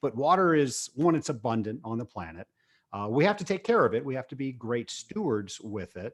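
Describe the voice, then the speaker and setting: On a very clean recording with a silent background, a man with an American accent talks at a fairly quick pace with very wide pitch swings. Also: medium pitch for a man. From Virginia, Richmond. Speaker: business owner and podcast host. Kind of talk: interview.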